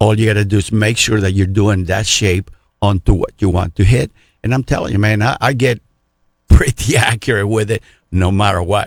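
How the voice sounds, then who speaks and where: A man's fairly low, somewhat breathy voice at a moderate pace, ordinary pitch variation, dry, close sound with no echo. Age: 60s. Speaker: archery shop expert. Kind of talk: radio interview.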